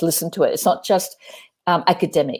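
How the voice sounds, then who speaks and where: Medium pitch and a dark, mellow tone from a woman with an Australian accent. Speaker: performance artist, theatre director. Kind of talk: live interview. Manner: passionate, animated.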